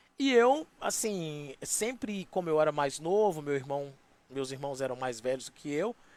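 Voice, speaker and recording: Using an ordinary speaking voice, a man with a fairly high pitch talks at a fairly slow pace with lively intonation. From Minas Gerais, Brazil (rural interior near Valadares). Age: 40s. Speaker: radio host. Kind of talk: interview. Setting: live stream. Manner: casual.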